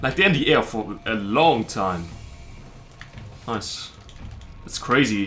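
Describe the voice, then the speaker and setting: Over music in the background, a man with a strong German accent speaks fairly slowly at a medium pitch. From southern Germany. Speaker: streamer. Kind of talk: casual chat.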